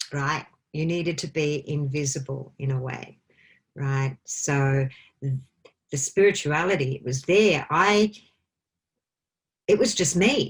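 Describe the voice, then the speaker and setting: A very slow, somewhat breathy woman's voice in an Australian accent, very deep and low in pitch, with ordinary pitch variation and long, frequent pauses. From Australia, country Victoria. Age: 50s. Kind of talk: interview chat.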